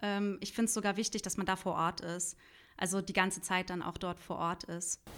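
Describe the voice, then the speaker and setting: In a very clean recording with a silent background, a woman speaks fairly quickly at a medium pitch with monotone, flat intonation. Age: 30s. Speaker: journalist and podcaster. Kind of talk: interview. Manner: halting, many fillers.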